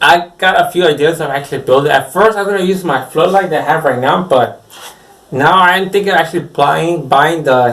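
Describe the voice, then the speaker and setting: Over noticeable background noise, a man speaks at a fairly quick pace with a fairly high pitch and ordinary pitch variation. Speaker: screen printer. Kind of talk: casual vlog talk. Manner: rambling, unscripted.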